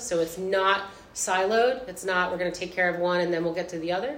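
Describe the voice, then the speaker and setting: Moving at a fairly quick pace, an unremarkable speaking voice shows ordinary pitch variation. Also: woman. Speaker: high school art teacher. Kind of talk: live panel discussion. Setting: stage with audience.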